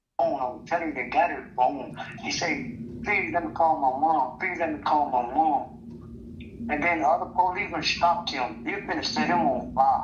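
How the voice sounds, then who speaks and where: A moderate pace in an American accent, with noticeable background noise behind it. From Mississippi. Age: 60s. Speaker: interviewee in street video. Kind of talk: street interview.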